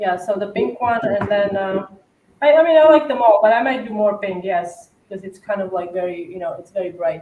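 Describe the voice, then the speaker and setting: Speaking at a fairly quick pace with a medium-pitched voice, a woman with an Eastern European accent uses lively intonation and big swings in loudness. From Slovakia. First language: Slovak. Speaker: cookie decorator. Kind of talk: casual livestream chat and tutorial. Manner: hesitant with many fillers.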